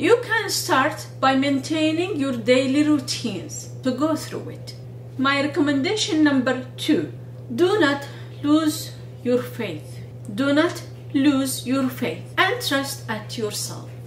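In a room with audible echo and light background noise, a woman speaks at a very slow pace. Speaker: video blogger and researcher. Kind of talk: monologue video talk with advice. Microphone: phone near.

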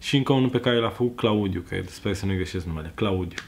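Faint music plays behind a man whose low-pitched voice carries vocal fry, ordinary pitch variation and a slightly mellow tone.

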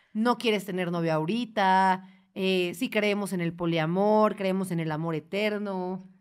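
A woman with an ordinary speaking voice, medium pitch and fairly even intonation at a fairly slow pace, in a very clean recording with a silent background. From Mexico, Puebla. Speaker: podcast host. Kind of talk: casual chat.

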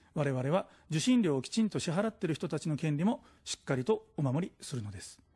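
A man talks with very wide pitch swings and big swings in loudness, his pitch fairly high and his tone dark and mellow. The background is quiet. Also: fairly quick pace. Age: 40s. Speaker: political candidate; candidate. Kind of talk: political campaign speech. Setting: studio. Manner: formal. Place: studio. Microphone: podium.

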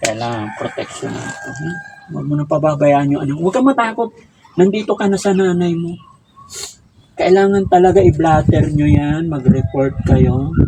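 Noticeable background noise sits behind speech at a moderate pace, with lively intonation and big swings in loudness. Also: man, fairly high pitch for a man. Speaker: online advice show host. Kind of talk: interview.

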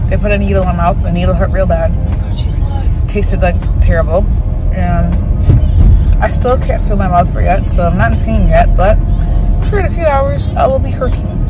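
With clear music in the background, a woman talks at a fairly quick pace in a dry sound with no echo. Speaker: vlogger. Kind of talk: casual vlog chat.

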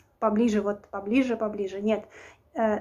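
The woman's tone is dark and mellow, and her intonation stays fairly even. She talks at a fairly quick pace. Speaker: vlogger. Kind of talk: casual vlog advice. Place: home room. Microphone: phone near.

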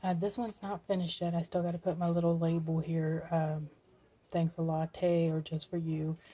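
Soft-spoken and somewhat breathy, a woman speaks with a dark, mellow tone at a fairly low pitch. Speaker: crafting YouTuber. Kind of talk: casual video blog. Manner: quiet, soft-spoken; hesitant, with fillers. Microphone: phone near.

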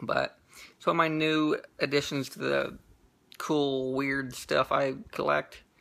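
A man speaks at a fairly slow pace. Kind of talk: casual vlog chat. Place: home room. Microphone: phone near.

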